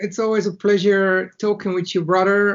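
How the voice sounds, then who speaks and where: A man speaks in a high pitch with a Bulgarian accent. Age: 30s. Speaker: entrepreneur. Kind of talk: interview. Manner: halting.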